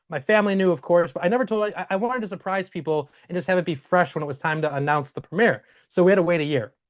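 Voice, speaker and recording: Very fast speech from a man with a high pitch and ordinary pitch variation, over a quiet background. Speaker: film director. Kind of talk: interview.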